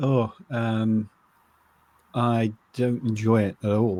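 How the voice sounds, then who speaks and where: Delivered with an English accent, the voice has a dark, mellow tone and a monotone, flat intonation. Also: man. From England. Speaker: novelist and podcast co-host. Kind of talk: casual chat.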